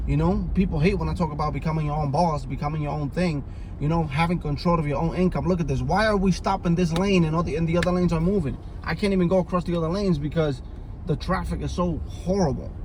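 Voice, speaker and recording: A man talks very fast at a high pitch, his intonation fairly even. Noticeable background noise and audible room echo fill the recording. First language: Spanish. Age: 30s. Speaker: vlogger. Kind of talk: casual vlog monologue. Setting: in a car. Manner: halting.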